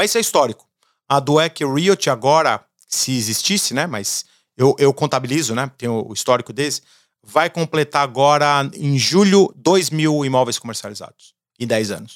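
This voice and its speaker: In a normal speaking voice, a man with a fairly high pitch speaks at a moderate pace, the sound dry and close with no echo and the recording very clean against a silent background. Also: lively intonation. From Brazil. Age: 40s. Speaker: entrepreneur. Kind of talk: casual interview.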